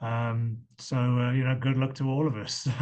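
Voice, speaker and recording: A man speaks with an English accent at a medium pitch. His pace is fairly slow. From England. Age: 50s. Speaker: medical device company founder pitching investors. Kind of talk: investor pitch Q&A on video call.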